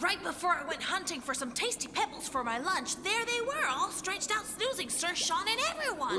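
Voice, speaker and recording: Against loud background noise, a cartoonish character voice rattles along at a fairly quick pace. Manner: cheerful, eager.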